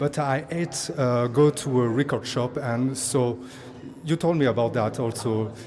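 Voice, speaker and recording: Over noticeable background noise, a man with a French accent speaks at a fairly slow pace, with a medium pitch and ordinary pitch variation. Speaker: musician. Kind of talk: backstage interview. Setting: backstage at live music event. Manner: halting.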